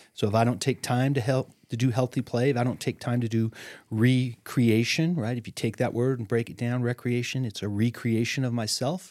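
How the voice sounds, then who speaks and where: A man with an unremarkable speaking voice at medium pitch talks at a fairly quick pace with fairly even intonation and hardly any pauses, on a very clean recording with a silent background. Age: 60s. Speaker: therapist. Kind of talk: podcast interview.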